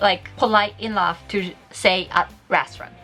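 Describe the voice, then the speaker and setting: With music in the background, a woman speaks at a fairly slow pace in a Japanese accent, her pitch fairly high. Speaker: Japanese teacher and YouTuber. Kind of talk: tutorial. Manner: animated.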